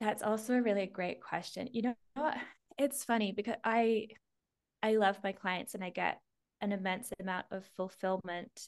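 Her voice sits at a mid pitch for a woman, with the usual range of rise and fall. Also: moderate pace. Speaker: hypnosis and EFT practitioner and spiritual teacher. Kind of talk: casual interview.

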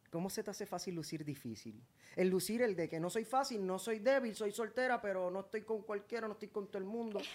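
In a Puerto Rican accent, a man with a high pitch talks at a very fast pace with ordinary pitch variation. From Puerto Rico. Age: 30s. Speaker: singer and social media personality. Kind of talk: casual interview chat. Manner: animated.

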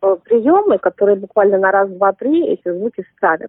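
The intonation rises and falls in a lively way. It is an unremarkable speaking voice, delivered at a moderate pace. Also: woman. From Russia, Saint Petersburg. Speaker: language teacher. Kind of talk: interview.

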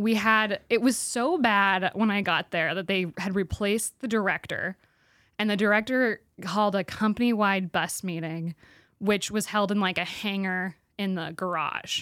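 A plain, everyday voice with an American accent talks at a moderate pace with fairly even intonation. The recording is very clean, with a silent background. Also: woman, medium pitch for a woman. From Spokane, Washington. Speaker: stand-up comedian and actor. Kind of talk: casual interview chat. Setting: studio.

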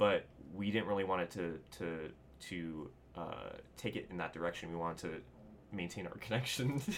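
Moderate-paced speech in an American accent, with lively intonation and long, frequent pauses. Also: man, very deep, low pitch for a man. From Southern California. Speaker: video editor. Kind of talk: interview. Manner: halting.

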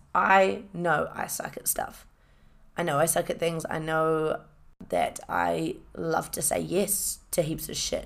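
In a New Zealand accent, a woman speaks at a very slow pace. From New Zealand, Hamilton. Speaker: podcast host, fitness enthusiast. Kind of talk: casual solo monologue. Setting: home recording with microphone. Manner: animated.

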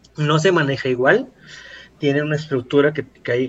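An ordinary speaking voice at a moderate pace. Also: man. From Mexico City area. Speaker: marketing podcast host. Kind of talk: casual educational chat.

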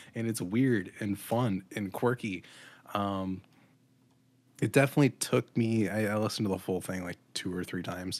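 In a very clean recording with a silent background, a man with a normal speaking voice talks with fairly even intonation. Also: fairly low pitch for a man, moderate pace. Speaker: podcast co-host. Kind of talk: casual chat.

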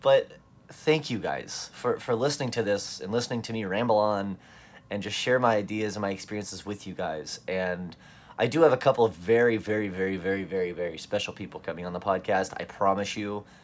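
Talking at a fairly quick pace, a man with an unremarkable speaking voice has a fairly low pitch and ordinary pitch variation. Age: 20s. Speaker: magician and podcaster. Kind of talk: casual solo monologue.

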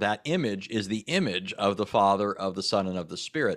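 In an American accent, a man with a fairly low pitch and a normal speaking voice talks at a moderate pace on a very clean recording with a silent background. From Southern California. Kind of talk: casual interview.

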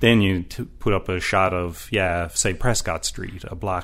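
A man with a Newfoundland accent and a very deep, low pitch. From Newfoundland, St. John's. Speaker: municipal planner. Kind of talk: interview conversation.

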